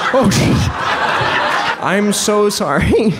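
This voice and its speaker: A man's voice under loud background noise. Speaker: comedian and magician. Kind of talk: live stand-up comedy magic show. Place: stage. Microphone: handheld.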